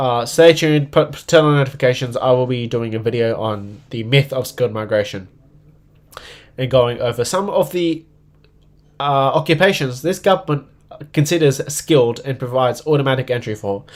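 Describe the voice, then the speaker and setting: Here is a man with an Australian accent. His pitch varies in an ordinary way. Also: medium pitch for a man. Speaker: political livestreamer. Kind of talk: live stream commentary. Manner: fast.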